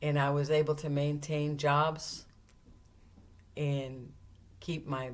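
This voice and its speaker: Very deep and low in pitch, a woman speaks at a very slow pace. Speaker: retiree. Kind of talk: personal memoir talk to camera.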